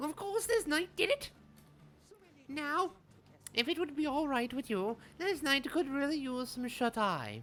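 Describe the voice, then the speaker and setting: A man puts on a character voice at an extremely high pitch, moving at a moderate pace with long, frequent pauses. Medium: game stream. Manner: grandiose, archaic, refers to himself as this knight.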